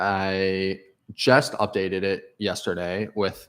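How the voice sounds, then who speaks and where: The recording is very clean, with a silent background. A man with fairly low pitch speaks at a very slow pace. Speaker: crypto trading educator. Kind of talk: livestream tutorial. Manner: lowered, quieter voice; loud, yelling earlier.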